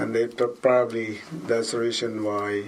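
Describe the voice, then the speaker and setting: Speaking at a medium pitch in a Filipino accent, a man keeps a monotone, flat intonation and a fairly slow pace. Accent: Filipino accent, noticeable. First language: Tagalog. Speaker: school custodian and basketball referee. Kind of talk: interview. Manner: halting, self-correcting.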